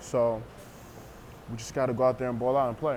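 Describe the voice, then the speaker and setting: The delivery is monotone and flat, with audible room echo. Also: man. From US, Panamanian family. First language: Spanish. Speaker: arena football player. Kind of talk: interview. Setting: tavern. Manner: halting.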